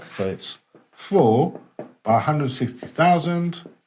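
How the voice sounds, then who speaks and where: Someone speaks at a very slow pace with music in the background. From Netherlands. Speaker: teacher. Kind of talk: lecture. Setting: classroom.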